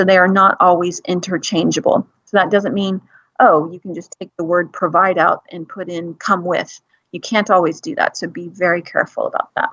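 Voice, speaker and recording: Her loudness swinging a lot, a woman speaks at medium pitch with ordinary pitch variation. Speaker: English teacher. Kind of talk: lecture. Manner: fast.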